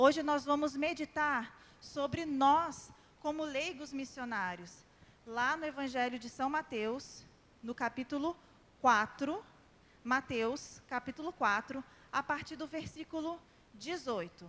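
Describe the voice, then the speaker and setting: At a very slow pace, a woman talks with long, frequent pauses. Her pitch is high, with ordinary pitch variation. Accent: slight carioca. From Brazil, São José; formed in Rio de Janeiro. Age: 30s. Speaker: lay preacher. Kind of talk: sermon. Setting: church prayer group with audience.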